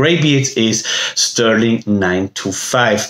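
There is audible room echo as a man speaks. The background is quiet. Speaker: beard balm maker and seller. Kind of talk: infomercial pitch. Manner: animated, salesy, hyperbolic; halting, filler-heavy. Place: home room. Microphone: phone near.

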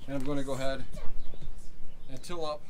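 Noticeable background noise behind a man's voice, its pitch varying in an ordinary way. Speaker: homeowner vlogger. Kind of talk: casual vlog chat. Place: garden. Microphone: phone near.

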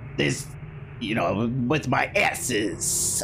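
A man's put-on character voice at medium pitch, over loud background noise

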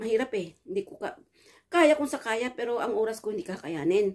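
Over a quiet background, a woman talks at a moderate pace, her pitch swinging very widely. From Philippines. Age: 50s. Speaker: vlogger; storyteller vlogger. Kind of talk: personal storytelling vlog; casual vlog chat. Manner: halting, with frequent fillers. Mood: reflective, warm. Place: home room. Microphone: phone near.

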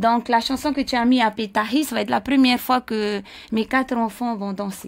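This woman's voice is fairly high-pitched for a woman. She talks at a moderate pace. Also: fairly even intonation. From French Polynesia, Raiatea; French Polynesia. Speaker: dance school owner; dance school teacher guest. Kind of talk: casual chat. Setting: radio studio. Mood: warm, nostalgic at times. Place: studio. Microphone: studio mic.

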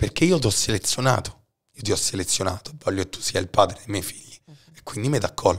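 A man's somewhat breathy speech runs fairly fast, with lively intonation. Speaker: podcast host. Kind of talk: casual chat.

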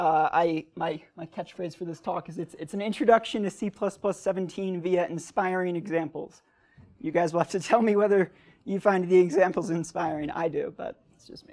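Against a quiet background, a man with a high pitch speaks at a moderate pace and with fairly even intonation. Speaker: conference presenter. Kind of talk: lecture. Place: hall.

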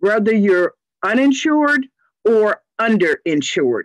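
A woman's voice with very wide pitch swings over a quiet background. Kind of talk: informational presentation. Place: home room. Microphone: video call.

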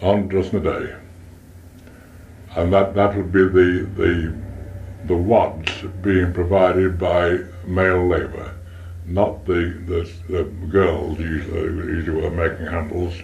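Over light background noise, a man with a very deep, low voice speaks in a monotone, flat way, leaving long, frequent pauses. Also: fairly slow pace. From Stoke-on-Trent, England; England. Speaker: retired pottery manufacturer. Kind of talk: oral history interview. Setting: front room at home. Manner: halting, repetitive. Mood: relaxed reminiscing. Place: home room. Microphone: cassette recorder, poor audio; old recording.

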